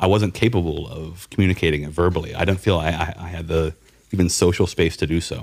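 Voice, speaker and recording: Talking at a very fast pace, a man with a very deep, low pitch and an American accent keeps his intonation fairly even. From South Carolina. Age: 30s. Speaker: tattoo artist and illustrator. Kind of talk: casual interview chat.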